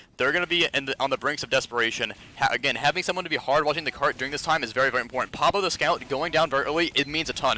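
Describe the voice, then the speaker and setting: Over noticeable background noise, a man talks very fast with hardly any pauses. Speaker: competitive gamer reviewing own match. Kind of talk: match demo review. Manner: fast, casting-like delivery; halting, frequent self-corrections.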